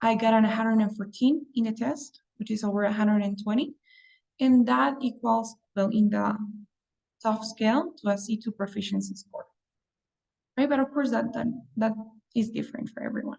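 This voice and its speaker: A woman with a Spanish accent speaks at a moderate pace in a somewhat breathy, fairly high voice with ordinary pitch variation and long, frequent pauses. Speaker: English test prep teacher. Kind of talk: online class. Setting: video call.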